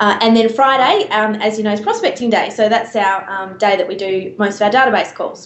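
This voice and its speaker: A woman with an Australian accent, fairly high in pitch and fairly even in intonation, at a fairly quick pace with hardly any pauses, amid noticeable background noise. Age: 20s. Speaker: real estate agent and auctioneer. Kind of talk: interview answer.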